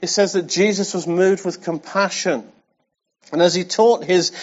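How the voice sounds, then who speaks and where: Someone speaks at a moderate pace with an English accent. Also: man. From England. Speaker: pastor. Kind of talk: sermon. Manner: animated.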